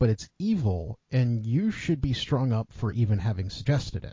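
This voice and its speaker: His medium-pitched, somewhat breathy voice swings very widely in pitch as the man talks at a moderate pace. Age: middle-aged. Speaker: podcast host. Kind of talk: casual chat.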